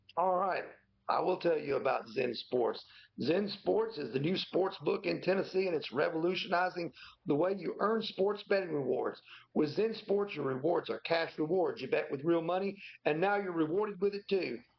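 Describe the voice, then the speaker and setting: Here a man speaks at a moderate pace with a high pitch and ordinary pitch variation. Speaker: football beat reporter. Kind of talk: casual sports talk.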